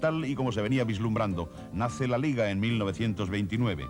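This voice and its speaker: A man talks at a fairly quick pace with a medium pitch. Music runs in the background. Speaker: narrator. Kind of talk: TV documentary narration.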